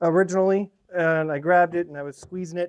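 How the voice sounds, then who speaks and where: Dry and close with no echo, the recording captures a man with a high pitch. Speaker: maker / metalworking hobbyist. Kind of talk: casual workshop vlog. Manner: halting, many fillers.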